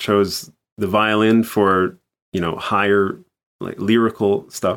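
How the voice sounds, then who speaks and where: This is an ordinary speaking voice moving at a fairly slow pace. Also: man. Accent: American. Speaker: orchestral bass trombonist. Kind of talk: casual interview.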